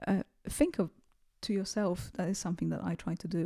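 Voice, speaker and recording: A dark, mellow voice with a non-native accent in a dry, close sound with no echo. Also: woman. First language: not English. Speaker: self-improvement video creator. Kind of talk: casual monologue to camera. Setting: home recording with bare background. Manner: hesitant, many fillers.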